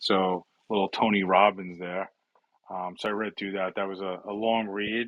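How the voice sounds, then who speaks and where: A man in a New York accent, fairly low-pitched and flat in a monotone, at a moderate pace. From US Northeast, New York City (Bronx). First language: Italian. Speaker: cybersecurity executive. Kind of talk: interview conversation. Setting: online audio room.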